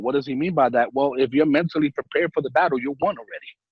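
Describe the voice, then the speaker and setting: A man speaks with a New York accent. His tone is animated. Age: 40s. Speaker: life insurance agent. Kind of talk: casual interview chat. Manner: energetic; animated, repeats words.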